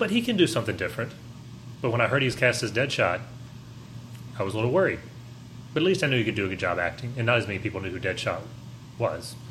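Talking very fast, a man uses a medium pitch and lively intonation, with long, frequent pauses. Audible room echo is present. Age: 40s. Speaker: podcast co-host. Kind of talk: casual chat.

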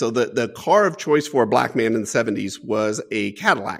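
A man speaks with an American accent at a moderate pace, his pitch varying in an ordinary way. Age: 40s. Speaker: business executive. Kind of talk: interview storytelling. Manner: animated.

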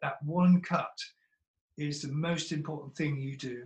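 The pitch of this man's voice varies in an ordinary way. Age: 70s. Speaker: seed company founder. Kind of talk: casual interview conversation.

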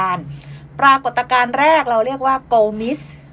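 A woman speaks with a high pitch. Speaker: radio host. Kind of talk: casual chat.

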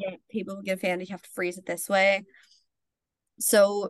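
With a Northern Irish accent, a woman at medium pitch speaks at a moderate pace in a dry, close sound with no echo. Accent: Northern Irish (Tyrone). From Northern Ireland, County Tyrone. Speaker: journalist. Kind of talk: casual chat.

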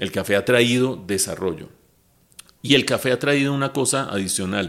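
This man has an ordinary speaking voice. He speaks at a moderate pace with ordinary pitch variation. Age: 60s. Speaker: economist and TV news analyst. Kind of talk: casual interview chat.

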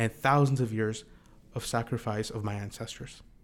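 Recorded very cleanly against a silent background, a man speaks very fast at a medium pitch with fairly even intonation. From India. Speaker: filmmaker and composer. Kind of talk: casual chat.

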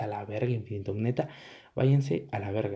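Speaking at a fairly quick pace, a man has a dark, mellow tone that is somewhat breathy, over a quiet background. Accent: Mexican. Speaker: YouTuber. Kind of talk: casual vlog monologue. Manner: casual, rambling filler-heavy.

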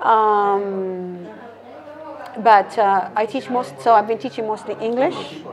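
Speaking at a very slow pace, a woman with a medium-pitched voice uses ordinary pitch variation over noticeable background noise. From Canada, Calgary. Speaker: flamenco dancer and English teacher living abroad. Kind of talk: casual interview.

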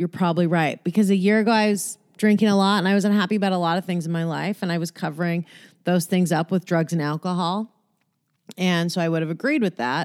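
In a very clean recording with a silent background and a dry, close sound with no echo, a woman talks very fast in a fairly low voice with an animated tone. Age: 40s. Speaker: podcast host. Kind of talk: casual solo monologue; guided meditation. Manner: frequent laughter and self-interruptions.

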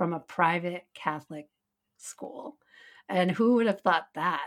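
Set against a very clean recording with a silent background, this woman has a normal speaking voice. She talks at a moderate pace and a fairly low pitch, with ordinary pitch variation. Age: 40s. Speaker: podcast host. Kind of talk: casual conversational chat. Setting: live on Instagram while taping.

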